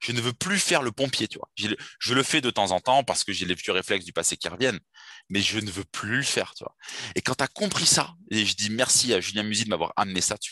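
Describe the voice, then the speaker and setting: Over a quiet background, a man with a fairly low pitch sounds enthusiastic, his bright, sharp tone captured dry and close with no echo and carrying ordinary pitch variation. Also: fairly quick pace. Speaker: dating coach. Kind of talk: interview conversation.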